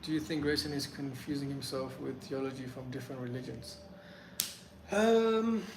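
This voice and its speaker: There is noticeable background noise and audible room echo. A man speaks with lively intonation. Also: fairly high pitch for a man, moderate pace. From UK, born in Afghanistan, moved at five. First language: Pashto. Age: 20s. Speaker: streamer. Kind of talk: live stream Q&A. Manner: hesitant, many fillers.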